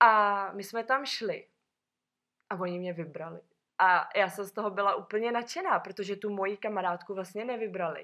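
Against a quiet background, a woman speaks at a moderate pace with a bright, sharp tone and medium pitch. Her intonation stays fairly even while her loudness swings widely. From Czechia, Sokolov. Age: 20s. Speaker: former flight attendant. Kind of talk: casual chat.

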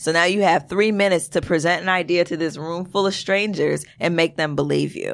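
A plain, everyday voice with an American accent, fairly even intonation and a moderate pace, on a very clean recording with a silent background. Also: woman. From Brooklyn, New York. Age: 20s. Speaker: poet and filmmaker. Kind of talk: casual chat.

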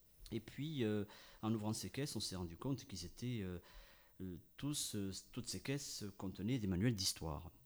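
The man's voice sits fairly low, with ordinary pitch variation. He talks at a moderate pace, broken by long, frequent pauses. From France, Ariège. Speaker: radio panel columnist. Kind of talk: storytelling chronicle.

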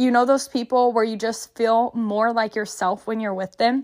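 With a Texan accent, a woman speaks at a fairly high pitch. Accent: Texan Southern US. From small-town Texas. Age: 20s. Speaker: podcast co-host. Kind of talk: casual solo chat.

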